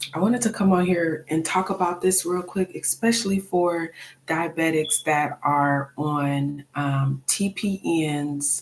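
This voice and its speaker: A soft-spoken woman talks with a very deep, low pitch at a very slow pace. Her loudness stays very even, and her pitch variation is ordinary. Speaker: nurse teaching diabetics. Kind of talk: live stream talk.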